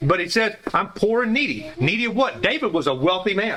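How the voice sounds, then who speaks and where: A man's raised, projected voice with very wide pitch swings over noticeable background noise. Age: 70s. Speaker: Bible study teacher. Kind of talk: Bible study class discussion. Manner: halting, many repeated words.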